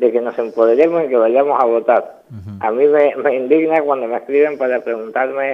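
This man has a normal speaking voice pitched at medium. He talks at moderate speed with fairly even intonation. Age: 40s. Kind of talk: radio interview.

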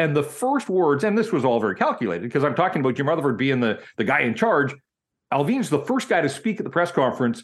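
With a Western Canadian accent, a man speaks very fast in a fairly high pitch, his voice making very wide pitch swings against a quiet background. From Vancouver, Canada. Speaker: hockey journalist. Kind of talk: casual interview.

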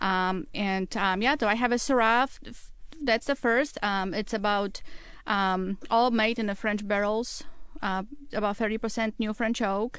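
A woman talks at a fairly slow pace with a Polish accent. Her pitch is fairly high, and the background is quiet. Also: ordinary pitch variation. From Poland. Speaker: winemaker. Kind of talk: casual chat. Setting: studio.

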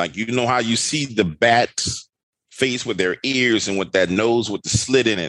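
A man speaks in a fairly low voice with ordinary pitch variation and an animated tone. The sound is dry and close with no echo, and his tone is bright and sharp. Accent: New Orleans. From New Orleans, Louisiana. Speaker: horror storyteller and YouTuber. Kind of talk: casual chat with storytelling.

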